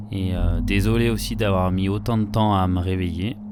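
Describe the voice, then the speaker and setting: Speaking at a fairly slow pace, a man with a very deep, low pitch shows ordinary pitch variation against noticeable background noise. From France, Savoie (Alps). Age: 30s. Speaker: professional skier and filmmaker. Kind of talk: interview monologue. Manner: hesitant, with frequent fillers.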